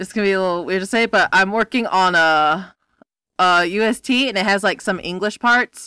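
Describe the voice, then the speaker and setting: Loud and fairly quick, a woman speaks with a bright, sharp tone in a dry, close sound with no echo. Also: medium pitch for a woman, ordinary pitch variation, very clean recording, silent background. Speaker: podcast host. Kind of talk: casual chat.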